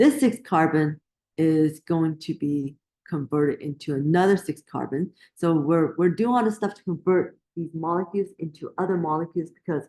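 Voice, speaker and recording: A woman mumbles at a moderate pace in a fairly low, dark, mellow tone. Her pitch varies in an ordinary way, while her loudness swings widely. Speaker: biology instructor. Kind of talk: lecture. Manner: mumbling; halting, self-correcting.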